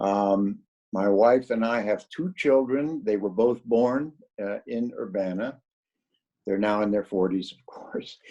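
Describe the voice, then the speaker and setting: With a Midwestern accent, the speaker uses a dark, mellow tone, ordinary pitch variation and a fairly slow pace. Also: man, medium pitch for a man. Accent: general American (Midwest). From US Midwest, northeast Ohio. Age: 70s. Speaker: retired psychology professor. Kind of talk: interview. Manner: halting, with many fillers.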